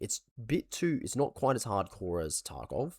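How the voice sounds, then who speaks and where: Over a silent background in a very clean recording, a man speaks with vocal fry and very wide pitch swings. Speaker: gaming commentator. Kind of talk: casual talk to camera.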